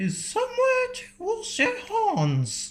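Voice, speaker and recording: In a put-on character voice, the speaker sounds squeaky and extremely high-pitched, going at a fairly slow pace. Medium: read story. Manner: brisk, self-assured.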